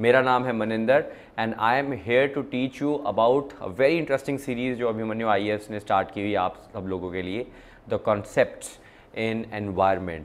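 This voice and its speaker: The pace of this man's speech is moderate. Ordinary variation marks his pitch. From India. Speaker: exam coaching teacher. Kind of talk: lecture. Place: studio. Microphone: lapel.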